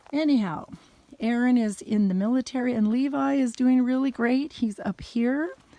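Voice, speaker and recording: Her voice is somewhat breathy, with a fairly high pitch and a dark, mellow tone, and the woman talks at a fairly slow pace. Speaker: vlogger. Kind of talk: personal video message. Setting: outdoors. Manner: halting.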